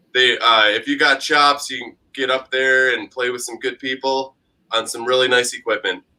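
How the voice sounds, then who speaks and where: A man speaks with a strong Buffalo accent at a medium pitch and a moderate pace. His tone is bright and sharp. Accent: strong Buffalo, New York. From Buffalo, New York. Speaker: musician. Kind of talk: casual chat.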